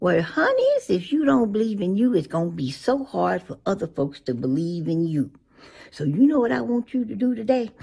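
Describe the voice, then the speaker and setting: A woman's somewhat breathy, dark and mellow voice at a moderate pace, with very wide pitch swings. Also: quiet background. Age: 80s+. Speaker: social media elder. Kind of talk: motivational talk to camera. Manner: warm, affectionate. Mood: warm, encouraging. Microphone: phone near.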